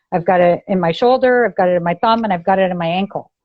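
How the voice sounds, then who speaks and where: A woman with a Canadian accent and a plain, everyday voice talks fairly quickly at medium pitch, keeping her intonation fairly even. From Ontario, Canada. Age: 50s. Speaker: abuse survivor sharing her story. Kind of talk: podcast interview, personal testimony.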